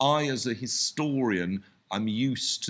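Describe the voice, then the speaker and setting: A man with a British accent speaks with ordinary pitch variation over a quiet background. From Britain. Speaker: historian and conference speaker. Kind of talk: conference panel discussion. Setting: conference with audience.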